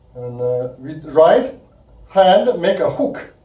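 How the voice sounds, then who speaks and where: Very wide pitch swings run through a man's very slow speech. His dark, mellow tone carries audible room echo. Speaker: kung fu instructor. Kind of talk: tutorial. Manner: halting; counting aloud.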